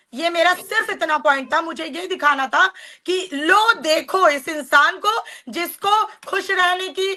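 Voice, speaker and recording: A woman speaks in a raised, projected voice at an extremely high pitch. Her tone is bright and sharp, her intonation lively. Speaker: social media live streamer. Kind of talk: heated live stream argument. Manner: loud.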